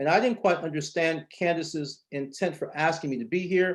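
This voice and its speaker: A fairly quick pace and fairly even intonation against a quiet background. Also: man. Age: 50s. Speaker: educator running a learning academy. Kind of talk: panel discussion.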